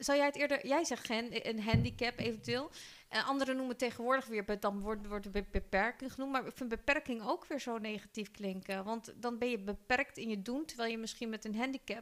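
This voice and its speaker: A woman in an ordinary speaking voice, fairly high in pitch, with ordinary pitch variation, a fairly quick pace and hardly any pauses. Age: 40s. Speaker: podcast host. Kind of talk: casual chat.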